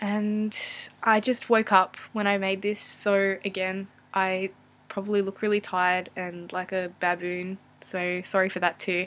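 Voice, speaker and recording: A woman at medium pitch with an Australian accent, flat monotone intonation and a fairly slow pace, in a very clean recording with a silent background. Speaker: vlogger and university student. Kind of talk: casual Q&A vlog. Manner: hesitant, many fillers.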